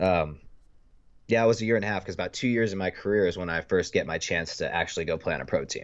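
A man with an American accent talks at a very fast pace. His pitch is very deep and low. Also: ordinary pitch variation. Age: 30s. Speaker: paintball player. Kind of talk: casual chat.

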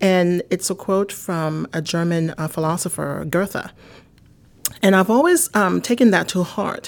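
With a Haitian accent, a woman talks at a fairly slow pace in a medium pitch, her pitch varying in an ordinary way. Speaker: marketing executive. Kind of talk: interview.

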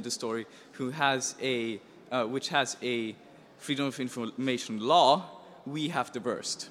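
A man's medium-pitched voice with a German accent. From Austria. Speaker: hacker journalist. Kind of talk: presentation. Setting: stage with audience.

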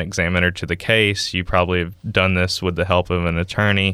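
In a Southern US accent, a man talks at a fairly quick pace with a very deep, low pitch and a bright, sharp tone. His intonation is monotone and flat, and the recording is very clean with a silent background. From US South, Mississippi. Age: 20s. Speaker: startup founder, engineer. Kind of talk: interview.

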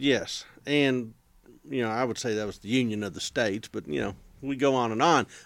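A man's ordinary speaking voice with an American accent, medium pitch and ordinary pitch variation at a moderate pace, on a very clean recording with a silent background. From Texas. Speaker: historian. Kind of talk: casual chat.

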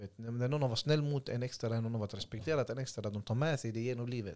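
A man with a medium-pitched voice talks at a very fast pace, his pitch varying in an ordinary way. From Sweden (Gothenburg, Hammarkullen). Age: 20s. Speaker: youth centre founder. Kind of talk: casual interview.

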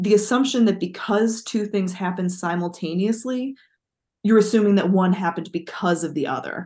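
The voice is a woman's and somewhat breathy. She talks at a moderate pace. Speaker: literature professor and podcast co-host. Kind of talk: casual chat. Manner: laughs often.

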